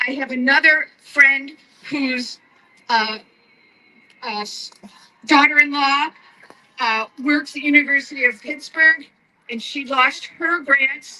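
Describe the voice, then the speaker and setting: In a raised, projected voice, a woman speaks at a high pitch and a very slow pace, with long, frequent pauses, big swings in loudness and fairly even intonation. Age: 70s. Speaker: protester speaking at rally. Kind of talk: rally speech.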